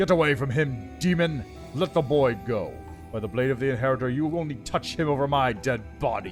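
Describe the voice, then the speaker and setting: A man booms out a put-on character voice at a medium pitch and a fairly quick pace, with clear music playing in the background. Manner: commanding, defiant.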